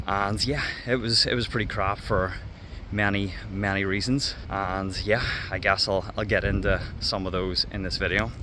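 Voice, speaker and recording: There is noticeable background noise as a man with a Northern Irish accent speaks with fairly even intonation. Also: fairly low pitch for a man, moderate pace. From Northern Ireland. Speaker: former English teacher. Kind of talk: casual talk to camera. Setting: outdoors.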